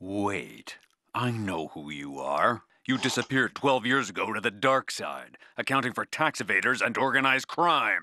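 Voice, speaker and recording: In a raspy, put-on character voice, a man speaks at a moderate pace with medium pitch. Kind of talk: hard-boiled voice-over. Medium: audio drama. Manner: wry, world-weary, deadpan.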